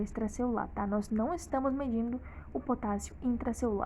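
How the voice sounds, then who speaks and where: Fairly high in pitch with ordinary variation, a woman's voice has a dark, mellow tone and vocal fry. She speaks at a fairly quick pace. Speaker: medical educator. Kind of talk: tutorial. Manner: fast.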